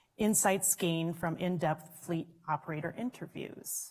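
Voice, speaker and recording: In a Minnesotan accent, a woman talks at a moderate pace with fairly even intonation. Her voice is fairly low and somewhat breathy. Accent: Minnesota. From Minnesota, US. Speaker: session moderator. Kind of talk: panel introduction at conference. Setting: conference room with audience, microphones.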